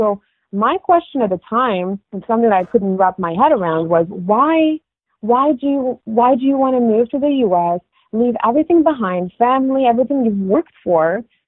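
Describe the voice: A woman's fairly high voice with an American accent and a slightly husky edge. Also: lively intonation, moderate pace, dry, close sound with no echo.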